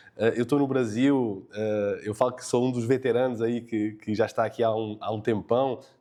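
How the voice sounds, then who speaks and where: A man's monotone, flat delivery with hardly any pauses. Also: medium pitch for a man, moderate pace. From Portugal. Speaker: tech company co-founder. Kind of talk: podcast interview. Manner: hesitant, many fillers.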